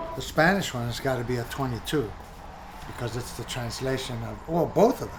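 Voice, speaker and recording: A man with a New York accent at medium pitch, fairly quick pace and big swings in loudness, amid noticeable background noise and audible room echo. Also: ordinary pitch variation. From New York City, the Bronx. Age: 60s. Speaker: bookstore co-owner. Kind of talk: documentary interview; casual chat.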